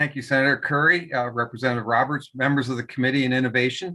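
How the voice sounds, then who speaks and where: A man with a medium pitch rattles along at a very fast pace. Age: 70s. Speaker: policy consultant. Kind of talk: public testimony.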